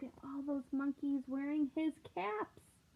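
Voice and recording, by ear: Speaking fairly slowly, the woman uses a high pitch. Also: ordinary pitch variation.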